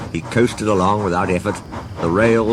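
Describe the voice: This is plain reading aloud. The text is read out plainly.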